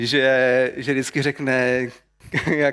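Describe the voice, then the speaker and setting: The recording is very clean, with a silent background and a dry, close sound with no echo. A man speaks at a very slow pace. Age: 40s. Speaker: church leader preaching. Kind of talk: sermon.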